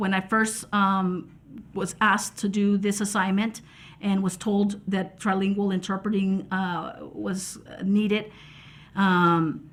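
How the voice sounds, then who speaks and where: Very slowly and in a monotone, flat intonation, a woman talks at medium pitch with a somewhat breathy voice. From Texas, Mexican-American. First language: American Sign Language. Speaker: sign language interpreter. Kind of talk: reflective interview talk. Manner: halting, many fillers and repetitions.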